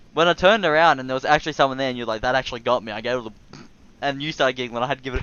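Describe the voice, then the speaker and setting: At a very fast pace, a man speaks at a medium pitch with ordinary pitch variation and big swings in loudness. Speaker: gaming YouTuber. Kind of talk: casual chat.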